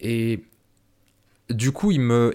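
A man talks at a medium pitch. Everything is very clean in the recording, with a silent background. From France. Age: 30s. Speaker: podcast host and filmmaker. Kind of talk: solo monologue to camera. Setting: filmed to camera. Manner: hesitant, many fillers and repetitions.

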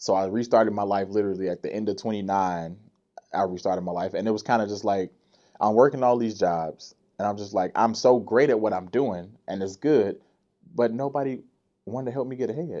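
A man's fairly low, dark and mellow voice with an American accent, ordinary pitch variation and a fairly quick pace over a quiet background. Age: 30s. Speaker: dancer and entertainer. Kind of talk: casual chat. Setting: studio.

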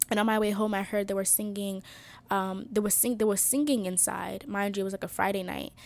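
With fairly even intonation, a woman speaks at a moderate pace and medium pitch. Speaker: social media manager. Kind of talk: casual chat. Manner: nervous.

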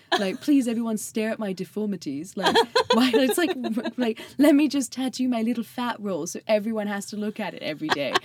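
A woman's fairly high voice moves at a fairly quick clip with lively intonation, while noticeable background noise sits behind her. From southern England. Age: 20s. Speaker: podcast guest. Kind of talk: casual chat. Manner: animated.

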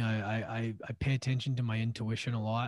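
A man with a Canadian accent speaks in a medium-pitched, flat, monotone voice. The sound is dry and close with no echo. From Canada (Edmonton, Alberta; then Vancouver Island). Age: 30s. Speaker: podcast host and former hockey player. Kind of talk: interview.

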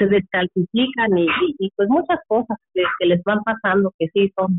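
A woman with an unremarkable speaking voice, medium pitch, ordinary pitch variation and a fairly slow pace. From Mexico, Michoacán. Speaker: relative of a prisoner. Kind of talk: testimony.

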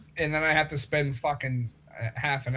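A man's bright, sharp tone at a moderate pace, with fairly even intonation. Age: 20s. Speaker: podcast co-host. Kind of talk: casual chat.

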